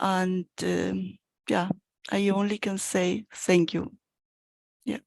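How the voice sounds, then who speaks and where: A woman speaks at a very slow pace with fairly even intonation. Her pitch is medium, and the sound is dry and close with no echo. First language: Spanish. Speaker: course participant. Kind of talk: thank-you speech. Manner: halting.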